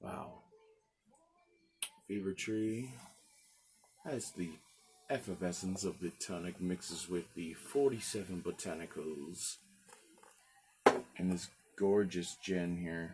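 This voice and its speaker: A man talks at a very slow pace with a very deep, low pitch, ordinary pitch variation, and long, frequent pauses. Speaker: gin reviewer, cook. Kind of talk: casual video review. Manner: halting, many fillers.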